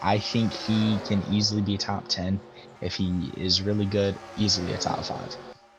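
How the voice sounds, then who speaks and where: A man's fairly low voice with fairly even intonation at a fairly slow pace, over noticeable background noise. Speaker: sim racing commentator. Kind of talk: live commentary.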